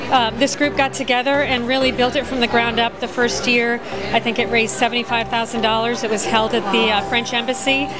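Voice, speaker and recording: With clear music in the background, a woman talks at a moderate pace. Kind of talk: interview answer. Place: hall. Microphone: handheld.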